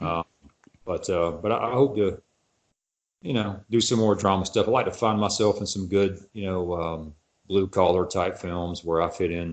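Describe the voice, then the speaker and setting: A man with a strong Texas accent, fairly low in pitch, at a moderate pace with fairly even intonation, in a quiet background. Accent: Texas, noted as strong. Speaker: actor. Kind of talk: casual chat.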